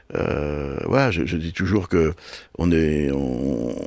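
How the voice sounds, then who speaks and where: A man with a Breton accent. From Brittany, France (Brest area). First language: Breton (speaking French). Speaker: television and festival producer. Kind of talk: interview. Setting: radio studio. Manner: halting, many repetitions.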